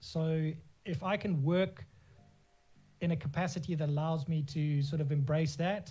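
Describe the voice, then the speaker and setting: A man with a fairly high pitch keeps a moderate pace and ordinary pitch variation while music plays in the background. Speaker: graphic designer and FGC community lead. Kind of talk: casual interview answer.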